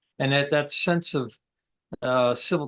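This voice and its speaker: At a fairly slow pace, a man speaks in an upstate New York accent with fairly even intonation. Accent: upstate New York American. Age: 60s. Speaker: military veteran. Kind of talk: interview conversation. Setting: podcast interview. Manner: halting, many fillers.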